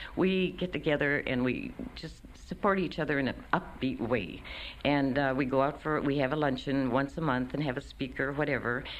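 Her pitch is very deep and low, with ordinary variation. The woman keeps a moderate pace. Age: 60s. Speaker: retiree in a kitchen band. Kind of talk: interview. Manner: animated.

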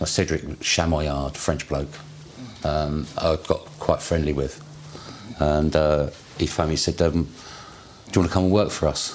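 Noticeable background noise sits behind a man with a very deep, low pitch. He talks at a fairly slow pace with monotone, flat intonation. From west London. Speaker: interviewee in oral history. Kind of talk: life story interview.

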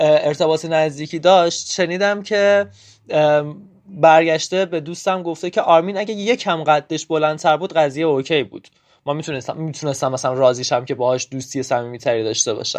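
Against a quiet background, a man with an unremarkable speaking voice talks at a fairly high pitch with ordinary pitch variation. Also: fairly quick pace. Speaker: interviewee. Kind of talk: testimony.

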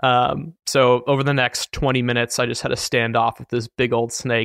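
A man with a normal speaking voice talks at a moderate pace and medium pitch, keeping his intonation fairly even. The recording is very clean, with a silent background. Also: dry, close sound with no echo. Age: 20s. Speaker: podcast host and running editor. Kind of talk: casual interview conversation.

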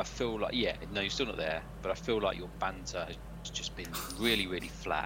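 With a British accent, a man speaks at a fairly quick pace with very wide pitch swings over noticeable background noise. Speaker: football podcast host. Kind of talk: casual chat.

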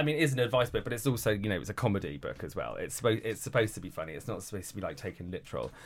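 Very fast and with hardly any pauses, a man speaks at a medium pitch with lively intonation. Vocal fry runs through his voice. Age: 40s. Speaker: celebrity journalist and author. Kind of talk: casual chat.

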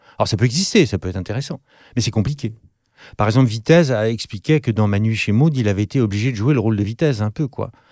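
Recorded dry and close with no echo over a very clean, silent background, a man speaks very fast in a dark, mellow tone with a medium pitch and ordinary pitch variation. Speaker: actor and author, former acting teacher. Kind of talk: casual interview chat.

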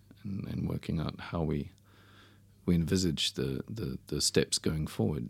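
The speaker has vocal fry, talks at a fairly slow pace, and varies pitch in an ordinary way. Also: man, very deep, low pitch for a man. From New Zealand. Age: 50s. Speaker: winemaker. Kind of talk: casual chat.

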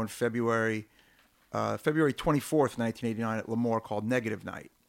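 Very fast, fairly even speech from a man with a Brooklyn accent and a medium pitch. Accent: New York (Brooklyn). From Brooklyn, New York (South Brooklyn). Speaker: hardcore punk musician. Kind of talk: casual chat.

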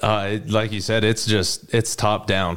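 A man with an American accent uses an ordinary speaking voice at a fairly low pitch and fairly slow pace, in a very clean recording with a silent background. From Utah, US. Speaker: college football player. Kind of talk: interview.

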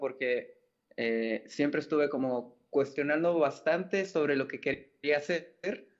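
The man has an ordinary speaking voice with a fairly high pitch. His intonation stays fairly even. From Mexico, Mérida (Yucatán); born in Mexico City. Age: 20s. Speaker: wedding photographer. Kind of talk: casual chat.

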